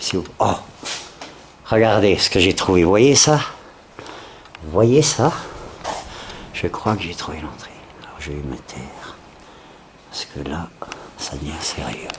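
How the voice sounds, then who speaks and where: Over noticeable background noise, a man with a very deep, low voice speaks at a very slow pace, with very wide pitch swings, big swings in loudness, and long, frequent pauses. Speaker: urban explorer vlogger. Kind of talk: exploration vlog narration. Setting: indoors, abandoned factory. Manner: whispering.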